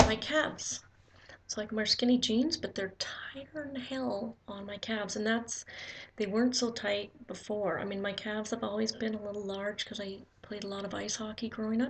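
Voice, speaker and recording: Soft-spoken and somewhat breathy, a woman talks at a moderate pace with a fairly high pitch and fairly even intonation. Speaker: vlogger. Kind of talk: casual video diary. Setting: at home. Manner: halting.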